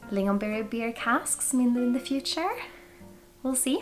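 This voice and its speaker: With a Swedish accent and lively intonation, a woman speaks at a fairly high pitch over music in the background. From Sweden. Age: 20s. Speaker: whisky reviewer. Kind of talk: product review vlog.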